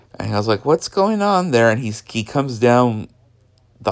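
A man with an American accent talks at a medium pitch on a very clean recording with a silent background. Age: 30s. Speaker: podcast host. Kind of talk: personal monologue. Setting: home bedroom. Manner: halting, many fillers.

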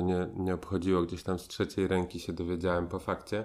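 On a very clean recording with a silent background, the speech moves at a fairly quick pace in a monotone, flat intonation. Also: man. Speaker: performance artist, podcast guest. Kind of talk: casual chat. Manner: halting, many filler pauses.

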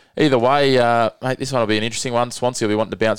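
On a very clean recording with a silent background, a man talks very fast with fairly even intonation. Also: dry, close sound with no echo. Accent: Australian. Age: 30s. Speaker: podcast host, local rugby league. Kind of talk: casual sports chat.

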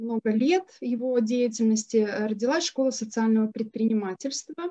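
Recorded with a dry, close sound with no echo, a woman speaks at a fairly high pitch in a dark, mellow tone. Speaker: social entrepreneur. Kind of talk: panel discussion.

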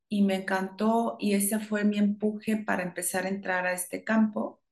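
Here is a woman with an ordinary speaking voice. She talks at a fairly slow pace and medium pitch. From northern Mexico, Chihuahua. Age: 50s. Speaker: yoga teacher. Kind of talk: interview.

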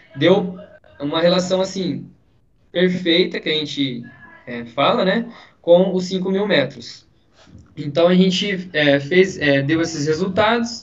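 Over noticeable background noise, a man with a high pitch speaks very slowly, leaving long, frequent pauses. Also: ordinary pitch variation. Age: 20s. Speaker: physical education student. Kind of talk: casual chat.

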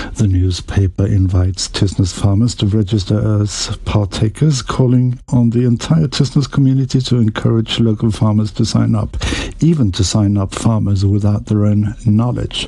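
Noticeable background noise surrounds a man speaking in a fairly low voice. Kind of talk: radio newsreading. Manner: formal, even-toned, deadpan newsreader delivery; measured and dry, straight-faced humor.

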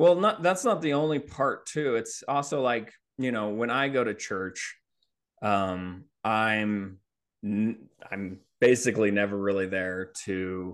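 A man speaks at a fairly slow pace with a fairly low pitch, in a plain, everyday voice against a quiet background. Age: 40s. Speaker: contractor and comedian. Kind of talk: casual chat.

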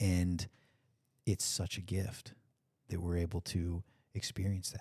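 Long, frequent pauses break up a man's fairly slow, somewhat breathy speech, delivered at a very deep, low pitch with fairly even intonation. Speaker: podcast host. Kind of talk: casual chat. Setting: video call.

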